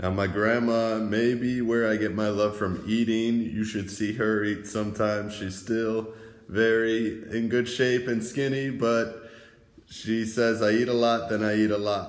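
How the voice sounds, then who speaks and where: In an American accent, a man talks at a fairly slow pace with monotone, flat intonation. Audible room echo surrounds the voice. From USA. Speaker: travel vlogger. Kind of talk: casual vlog narration reading messages. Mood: amused, warm. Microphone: phone near.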